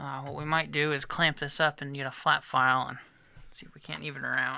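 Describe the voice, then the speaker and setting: Amid noticeable background noise, a man talks at a moderate pace in a fairly high voice with monotone, flat intonation. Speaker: luthier. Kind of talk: tutorial. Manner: casual.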